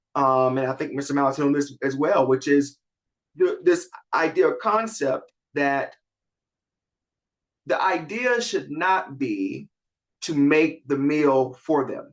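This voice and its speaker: A man with a Southern accent speaks at a fairly slow pace in a fairly high voice, his intonation lively and broken by long, frequent pauses. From US South, rural South Carolina. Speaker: community development practitioner, panelist. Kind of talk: panel discussion. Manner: many fillers and restarts.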